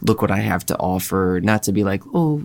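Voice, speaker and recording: In a very clean recording with a silent background, a man with a fairly low pitch talks at a moderate pace in a normal speaking voice. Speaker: podcast host. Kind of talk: casual conversational interview.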